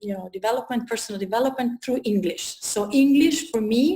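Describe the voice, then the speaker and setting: A woman speaks with an Italian accent at a fairly quick pace, her fairly high voice somewhat breathy and her pitch varying in an ordinary way. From Italy. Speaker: personal development coach. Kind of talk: interview. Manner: halting.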